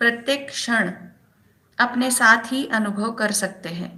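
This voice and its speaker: Here a woman with a fairly high pitch speaks in an ordinary speaking voice. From Maharashtra, India. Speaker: meditation practitioner reading a guru's message. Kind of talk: reading aloud of a spiritual text.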